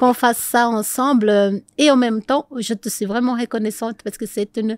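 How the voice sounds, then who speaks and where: The delivery comes at a moderate pace with fairly even intonation in a very clean recording with a silent background, dry and close with no echo. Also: woman. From Brazil. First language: Portuguese (speaking French). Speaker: couples coach. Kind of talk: interview.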